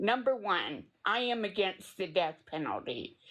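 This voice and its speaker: A woman with a Tennessee accent speaks at a fairly slow pace with lively intonation. The background is quiet. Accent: Tennessee Southern. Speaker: true crime community member apologizing. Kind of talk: live stream apology statement.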